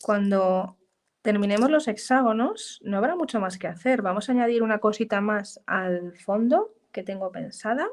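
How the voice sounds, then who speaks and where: Speaking at a fairly quick pace, a woman with an unremarkable speaking voice keeps a fairly high pitch and ordinary pitch variation. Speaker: art journaling teacher. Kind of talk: live craft tutorial. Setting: live stream.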